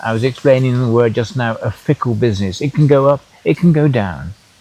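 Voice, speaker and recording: A man with a medium pitch and ordinary pitch variation talks at a moderate pace against noticeable background noise. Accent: English. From England. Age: 80s+. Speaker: tour operator and farmer. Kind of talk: panel interview. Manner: halting.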